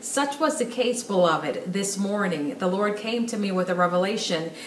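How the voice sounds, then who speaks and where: With audible room echo and light background noise, a woman speaks with ordinary pitch variation. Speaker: speaker. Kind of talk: sermon-like direct-to-camera message. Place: home room.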